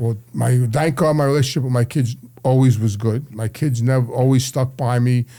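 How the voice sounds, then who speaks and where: The man has a New York accent, a medium pitch and a dark, mellow tone that is somewhat breathy. He talks at a moderate pace with fairly even intonation and very even loudness. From New York City, Brooklyn and Queens. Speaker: addiction counselor, former mobster. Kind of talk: interview storytelling. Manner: halting, repetitive.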